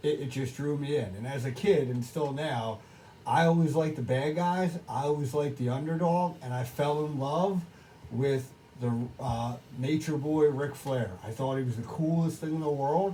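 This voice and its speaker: A man's fairly high pitch at a moderate pace, with audible room echo and noticeable background noise. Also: ordinary pitch variation. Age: 40s. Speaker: wrestling podcast co-host. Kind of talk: casual chat. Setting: bar. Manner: halting, many restarts.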